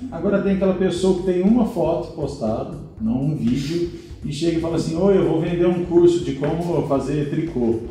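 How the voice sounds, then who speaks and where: With audible room echo, a man speaks at a moderate pace and a high pitch. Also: ordinary pitch variation. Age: 30s. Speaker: digital marketing professional. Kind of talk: casual chat.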